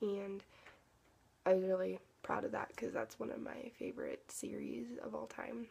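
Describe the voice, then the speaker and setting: A soft-spoken woman talks here. Her speech has long, frequent pauses. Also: moderate pace. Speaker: book vlogger. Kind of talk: casual chat. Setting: at home. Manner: halting.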